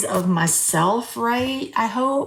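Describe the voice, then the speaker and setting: A woman speaks in a normal speaking voice at a medium pitch, her intonation lively. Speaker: journaling video creator. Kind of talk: crafting tutorial chat. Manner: casual, chatty.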